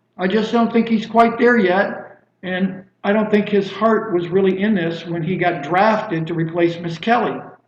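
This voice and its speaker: A man speaks at a fairly slow pace in a high-pitched voice with ordinary pitch variation, and audible room echo surrounds him. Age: 60s. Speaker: criminal defense lawyer and judicial candidate. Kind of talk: interview.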